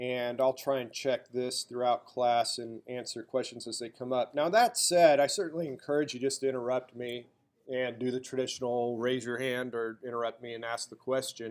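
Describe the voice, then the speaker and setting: Medium-pitched male speech with a slight Southern US accent, fairly even intonation and hardly any pauses. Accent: slight drawl. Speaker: college instructor. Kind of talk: lecture.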